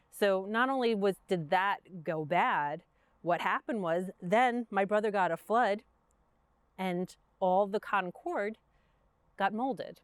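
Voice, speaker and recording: With long, frequent pauses, a woman speaks at a fairly slow pace and ordinary pitch variation. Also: medium pitch for a woman, dry, close sound with no echo. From Brooklyn, New York. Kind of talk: interview conversation. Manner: casual, halting with fillers.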